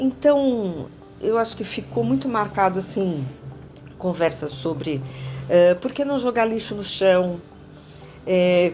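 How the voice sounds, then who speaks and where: A woman at a very slow pace, with long, frequent pauses and very wide pitch swings. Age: 60s. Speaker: former student of the school. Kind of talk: interview reminiscence. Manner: halting, with fillers and repetitions.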